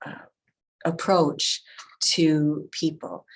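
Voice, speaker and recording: A woman speaks with a very deep, low pitch. Her pace is very slow. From US Midwest, Wisconsin. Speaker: museum professional. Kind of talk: presentation. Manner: many fillers and hesitations.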